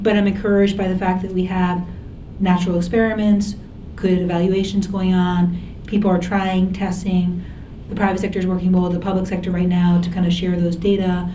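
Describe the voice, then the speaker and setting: A woman speaks at a medium pitch in a monotone, flat way, with audible room echo and noticeable background noise. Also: fairly quick pace. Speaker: former government health policy official. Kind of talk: panel Q&A discussion.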